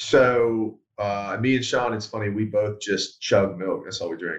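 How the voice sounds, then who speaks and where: Speaking at a moderate pace, a man with an American accent has a fairly low pitch. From Pittsburgh, then North Carolina. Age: 30s. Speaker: reality TV show contestant. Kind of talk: casual interview. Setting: video call.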